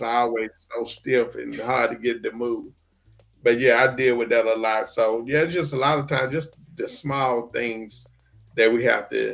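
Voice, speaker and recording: Music plays in the background while a man talks at a moderate pace. His medium-pitched voice keeps a fairly even intonation. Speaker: stroke survivor show host. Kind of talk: casual chat. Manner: slurred speech.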